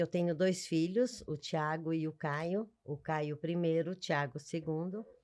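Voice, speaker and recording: Over a quiet background, the speaker moves at a very slow pace. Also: woman. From Minas Gerais, Brazil. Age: 70s. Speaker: mother of the host. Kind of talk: personal life story in interview.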